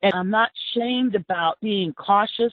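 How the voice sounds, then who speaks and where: In a Texan accent, a woman talks at a fairly slow pace. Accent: Texan American. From South Texas. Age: 60s. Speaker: former city council member, activist. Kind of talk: interview.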